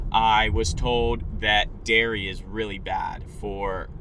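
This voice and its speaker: Noticeable background noise is in the recording. A man's voice carries audible room echo. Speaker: YouTuber. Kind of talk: casual vlog monologue. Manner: monotone; little inflection.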